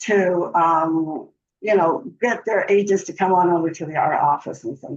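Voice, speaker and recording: Ordinary pitch variation in a woman's voice with an American accent. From Southern California, San Bernardino area. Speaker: board candidate, realtor. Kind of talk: candidate forum answers. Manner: halting, many fillers and repetitions.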